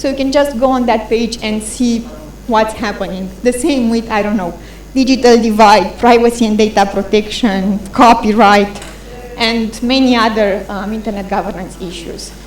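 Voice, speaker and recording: Against noticeable background noise and audible room echo, a woman speaks with a fairly high pitch and fairly even intonation. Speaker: conference speaker presenting a policy tool. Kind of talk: conference presentation. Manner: fast.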